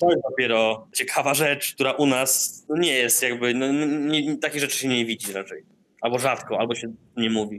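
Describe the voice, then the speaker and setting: A man speaks with a normal speaking voice at a medium pitch. His pitch variation is ordinary. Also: moderate pace. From northern Poland, Darłowo. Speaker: artist and community space founder. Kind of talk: interview. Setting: remote call from Indonesia.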